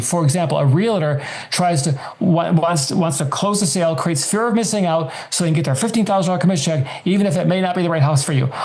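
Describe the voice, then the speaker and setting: A man's high, lively voice at a very fast pace, with noticeable background noise and audible room echo. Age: 70s. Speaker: author and personal finance guest. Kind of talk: interview.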